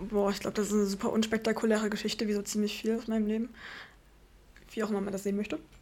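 A woman at a very fast pace with monotone, flat intonation and long, frequent pauses. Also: fairly high pitch for a woman. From Vogtland, Saxony, Germany. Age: 20s. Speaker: speech therapy trainee. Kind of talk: casual chat.

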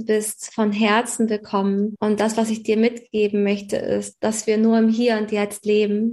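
The speaker keeps a moderate pace in a monotone, flat intonation. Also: woman. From Hamburg, northern Germany. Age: 30s. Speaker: astrology coach and naturopath. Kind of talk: podcast interview.

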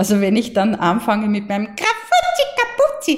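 A woman speaks with an Austrian accent. Her voice is fairly high and somewhat breathy. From Austria, Mostviertel. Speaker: voice coach. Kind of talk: interview.

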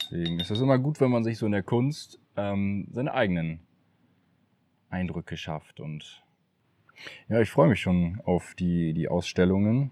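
With a dark, mellow tone and lively intonation, a man speaks fairly slowly at a fairly low pitch, leaving long, frequent pauses in a very clean recording with a silent background. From Emsland, northwest Germany. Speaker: painter. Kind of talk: casual interview. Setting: home studio and garden.

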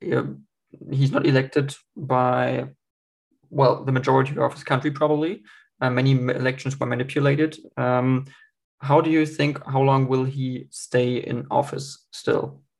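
A man talks at a moderate pace with a German accent. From Germany. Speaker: podcast host. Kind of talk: podcast interview. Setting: video call.

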